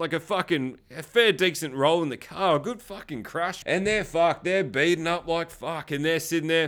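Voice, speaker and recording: With an Australian accent, a man talks at a moderate pace in a high, animated voice with ordinary pitch variation. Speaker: podcast host and movie reviewer. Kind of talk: casual review and chat. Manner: excitable, profane, animated.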